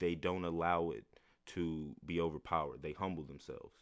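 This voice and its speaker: This man speaks in an American accent at a moderate pace. His pitch is very deep and low. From US South. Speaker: fashion designer. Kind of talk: casual interview.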